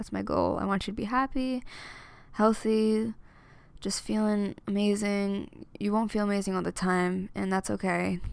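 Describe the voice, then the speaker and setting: A woman with an American accent, medium in pitch, at a moderate pace with monotone, flat intonation. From US Northeast (Amityville, New York). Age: 20s. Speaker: singer and student. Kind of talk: casual monologue.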